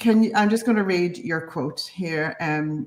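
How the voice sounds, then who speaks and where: A woman with an Irish accent speaks with lively intonation. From Ireland, County Monaghan, border area. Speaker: launch interview host. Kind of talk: online interview. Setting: online video interview. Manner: enthusiastic, animated.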